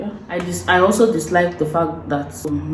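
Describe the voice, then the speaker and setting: A woman with a Nigerian accent speaks over noticeable background noise. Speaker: vlogger. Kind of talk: casual talk to camera.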